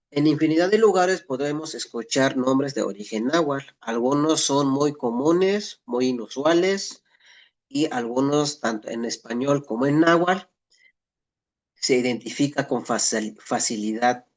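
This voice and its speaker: A man with a Mexican accent speaks at a fairly slow pace and a fairly high pitch, with ordinary pitch variation. The background is quiet. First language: Nahuatl (speaking Spanish). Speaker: Nahuatl language teacher. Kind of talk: lecture. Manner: halting with frequent self-corrections.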